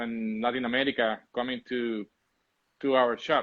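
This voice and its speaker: Speaking at a moderate pace, the man keeps a medium pitch. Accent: Spanish. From Puerto Rico. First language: Spanish. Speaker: coffee shop owner. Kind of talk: casual interview chat. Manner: halting, repeats words.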